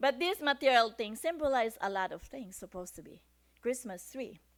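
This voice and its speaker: A woman speaks with a Filipino accent and lively intonation. The recording is very clean with a silent background. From Philippines. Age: 60s. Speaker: church speaker. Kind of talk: sermon.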